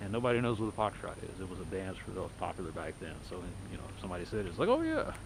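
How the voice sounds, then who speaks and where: With an American accent, a man speaks at a very fast pace in a fairly low voice, his intonation fairly even and the room echo audible. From Texas. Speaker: video journal vlogger. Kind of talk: casual monologue while walking. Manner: rambling conversational. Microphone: poor audio with noise.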